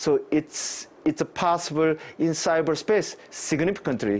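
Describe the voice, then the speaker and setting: A man speaks with a Korean accent. His pitch is fairly high for a man, with ordinary pitch variation. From South Korea. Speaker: cybersecurity professor. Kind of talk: live interview. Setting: remote live link. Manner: halting, many fillers. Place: office. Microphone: lapel.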